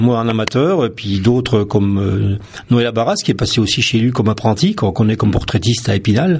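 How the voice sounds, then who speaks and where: A man speaks at a very fast pace in a medium pitch. His loudness stays very even. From France, Vosges (Lorraine). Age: 50s. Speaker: photographer. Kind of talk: radio interview. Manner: hesitant, many fillers.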